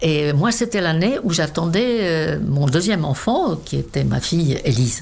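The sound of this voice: With lively intonation and a moderate pace, a woman speaks at a low pitch in a slightly mellow tone marked by vocal fry.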